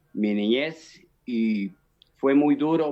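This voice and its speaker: A man speaks with ordinary pitch variation. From Colombia, Boyacá (Chiquinquirá). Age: 60s. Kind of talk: testimony. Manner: halting, many fillers and repetitions.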